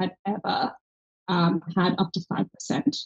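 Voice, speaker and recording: A woman at medium pitch talks at a fairly slow pace, somewhat breathy, in a dry, close sound with no echo. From Ireland. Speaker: health tech company founder. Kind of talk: podcast interview.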